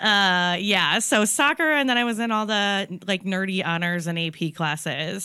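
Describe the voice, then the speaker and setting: With an American accent, the speaker has a bright, sharp tone and lively intonation in a very clean recording with a silent background. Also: woman. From northeast Ohio, US (Painesville). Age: 30s. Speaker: stand-up comedian. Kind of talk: casual chat.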